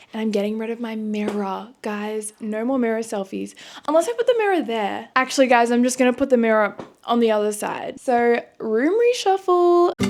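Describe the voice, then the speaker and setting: A woman speaks with an Australian accent at a fairly high pitch. Her intonation is lively. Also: moderate pace. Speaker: vlogger. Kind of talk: casual vlog. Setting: at home, her bedroom.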